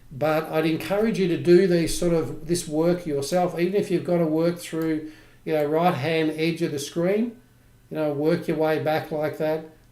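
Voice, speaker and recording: A man's fairly high, dark, mellow voice with an Australian accent, fairly even intonation and a moderate pace, plus audible room echo. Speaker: trading educator. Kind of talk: live trading tutorial. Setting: livestream.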